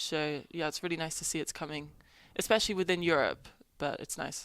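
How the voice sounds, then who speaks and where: This woman has a fairly low pitch and an English accent. The recording is very clean, with a silent background. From England. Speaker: college tennis player. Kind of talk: interview.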